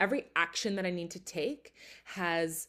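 At a fairly slow pace, a woman with an American accent uses an ordinary speaking voice, fairly low in pitch with ordinary pitch variation. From Philadelphia area, US. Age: 20s. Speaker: podcast host and artist. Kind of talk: solo podcast monologue.

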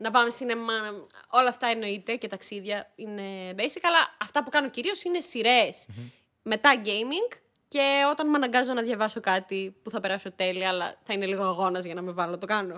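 On a very clean recording with a silent background, a woman with an unremarkable speaking voice talks at a moderate pace with a fairly high pitch and lively intonation. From Greece, Thessaloniki. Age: 30s. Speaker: YouTuber. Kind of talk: casual chat.

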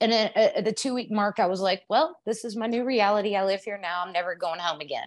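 Against a quiet background, a woman speaks with a fairly high pitch and ordinary pitch variation. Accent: Texas. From Texas. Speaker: hairdresser and aspiring author. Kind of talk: casual interview, storytelling.

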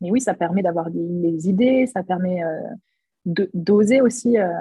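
A woman with a medium pitch and a dark, mellow tone sounds somewhat breathy, her pitch varying in an ordinary way, in a dry, close recording with no echo. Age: 20s. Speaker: photographer. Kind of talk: interview.

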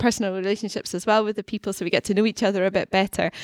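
A woman's medium-pitched voice with a Scottish accent, fairly even intonation, and a dry, close sound with no echo on a very clean recording against a silent background. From Scotland. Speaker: university researcher. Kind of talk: podcast interview. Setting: studio.

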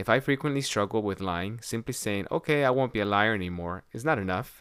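On a very clean recording with a silent background, a man with a normal speaking voice and a fairly low pitch talks at a fairly quick pace with ordinary pitch variation. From United States. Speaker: podcast host, parish social justice coordinator. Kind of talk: interview conversation.

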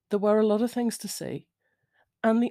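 Somewhat breathy and with a dark, mellow tone, a woman with a British accent speaks at fairly high pitch in a very clean recording with a silent background and a dry, close sound with no echo. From Britain. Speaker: podcast host. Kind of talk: solo monologue. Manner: rambling, informal.

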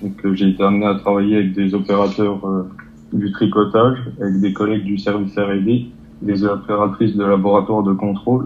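The voice belongs to a man with a fairly low pitch. His intonation is flat and monotone. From eastern France, Territoire de Belfort. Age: 20s. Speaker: apprentice lab technician. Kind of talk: interview. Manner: hesitant, many fillers.

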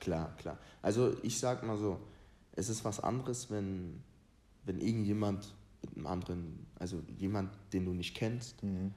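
A man's dark, mellow voice at a fairly low pitch, with ordinary pitch variation, a moderate pace, long, frequent pauses and audible room echo. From Ghana. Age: 20s. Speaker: youth footballer and motivational content creator. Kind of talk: casual chat.

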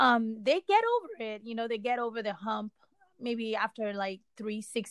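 Dry and close with no echo, a woman's normal speaking voice comes through at a fairly high pitch, a moderate pace and fairly even intonation. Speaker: podcast host. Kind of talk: casual chat.

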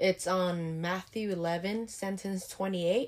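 With a Vietnamese accent, a woman speaks at a medium pitch with fairly even intonation. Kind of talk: casual interview answers. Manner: slightly nervous, unsure.

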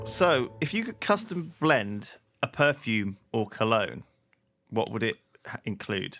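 Over background music, a man with a medium pitch speaks at a very slow pace with lively intonation and long, frequent pauses. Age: 30s. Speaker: podcast co-host. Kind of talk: casual chat.

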